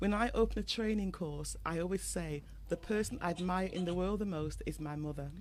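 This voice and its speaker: This speaker has a British accent and talks at a fairly quick pace. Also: woman. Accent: British, noticeable. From England (moved from Dominica at six). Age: 50s. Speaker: trainer, guest. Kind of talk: radio interview.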